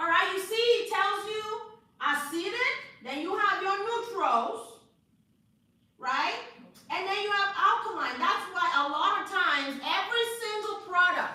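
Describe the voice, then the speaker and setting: Speaking in a raised, projected voice with a Nigerian accent, a woman hits an extremely high pitch and makes very wide pitch swings in an animated tone. She goes at a fairly slow pace with long, frequent pauses, and audible room echo surrounds her. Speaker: hair care instructor. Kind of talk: live class lecture.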